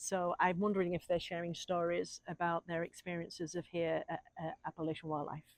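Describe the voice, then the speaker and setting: Speaking in a fairly low pitch, a woman talks at a fairly quick pace with hardly any pauses and monotone, flat intonation. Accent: English. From England. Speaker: wildlife refuge volunteer. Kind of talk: interview answers. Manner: halting, many fillers.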